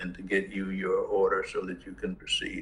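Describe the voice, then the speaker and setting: A man speaks at a moderate pace. He has a Southern US accent. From US South, Mississippi. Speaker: judge. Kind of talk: court hearing.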